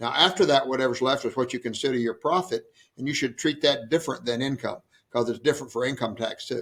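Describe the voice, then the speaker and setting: A man at a medium pitch, with ordinary pitch variation and a very fast pace. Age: 70s. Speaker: martial arts school owner. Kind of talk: interview. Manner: animated.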